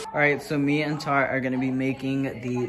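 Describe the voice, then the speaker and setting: Over clear music in the background, a man is speaking. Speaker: food vlogger. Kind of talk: casual vlog chat. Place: kitchen. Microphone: phone near.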